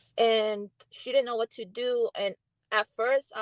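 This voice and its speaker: The sound is dry and close, with no echo. A woman talks with a Spanish accent. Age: 30s. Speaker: guest. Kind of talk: casual chat. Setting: livestream. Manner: halting.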